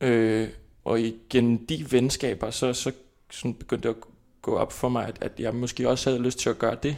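In a very clean recording with a silent background, a man with an Icelandic accent speaks at a moderate pace in a monotone, flat intonation. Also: medium pitch for a man. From Iceland, capital area. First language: Icelandic (speaking Danish). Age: 20s. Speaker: actor. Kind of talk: interview. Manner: halting.

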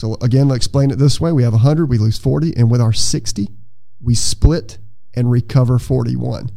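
Noticeable background noise runs under a man's voice. He speaks at a moderate pace in a medium pitch with ordinary pitch variation. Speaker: entomology professor. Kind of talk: interview.

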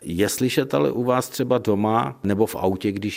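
A man talks in an ordinary speaking voice at a fairly low pitch. His intonation is lively and his pace moderate. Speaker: radio host. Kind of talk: radio interview. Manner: formal.

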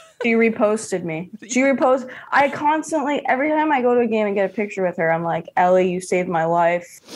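A woman with an American accent talks very fast with hardly any pauses, her fairly high pitch swinging very widely over noticeable background noise. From New York City (Hell's Kitchen, Queens). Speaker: comedian. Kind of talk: casual chat.

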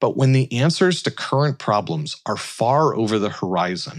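This is a man with an unremarkable speaking voice. He talks at a fairly slow pace with lively intonation. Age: 40s. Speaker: commencement speaker, tech innovation leader. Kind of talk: commencement speech.

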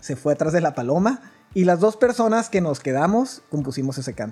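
Over music in the background, a man with a northern Mexican accent and a high pitch speaks at a fairly quick pace, his pitch swinging very widely. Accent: northern Mexican (Chihuahua). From rural Chihuahua, northern Mexico. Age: 30s. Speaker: church musician. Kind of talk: casual chat. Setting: at home.

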